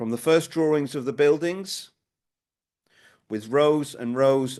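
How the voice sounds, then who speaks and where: A man with a Norwich accent at a very slow pace, ordinary pitch variation and a quiet background. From Norwich, Norfolk, England. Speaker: local historian. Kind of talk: public talk.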